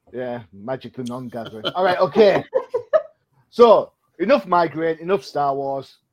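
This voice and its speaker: With a British accent, a man speaks at a fairly high pitch and a moderate pace, with long, frequent pauses. His intonation is lively, and his loudness swings widely. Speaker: comic book podcast host. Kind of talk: casual chat.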